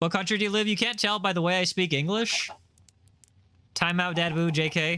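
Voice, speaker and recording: A man talks at a fairly quick pace in a raised, projected voice. His high pitch shows ordinary variation and a bright, sharp tone. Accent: American. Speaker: gaming streamer. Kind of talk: casual chat. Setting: live stream. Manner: animated.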